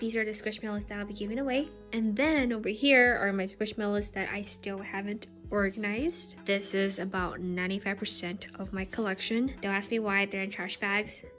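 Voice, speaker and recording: A woman speaks with fairly even intonation and hardly any pauses. Clear music plays in the background. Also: moderate pace. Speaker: vlogger. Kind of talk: casual vlog chat. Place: home room. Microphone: phone near.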